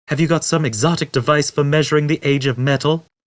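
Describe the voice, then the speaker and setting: A man does a put-on character voice at a fairly high pitch, talking at a very fast pace. His loudness stays very even, his intonation is fairly even, and the background is quiet. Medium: read story.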